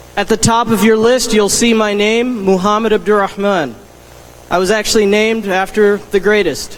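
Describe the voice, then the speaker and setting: With an American accent, a man speaks at a moderate pace in a high voice, with fairly even intonation and very even loudness, over noticeable background noise. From US South. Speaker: teacher, delegate candidate. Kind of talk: convention speech.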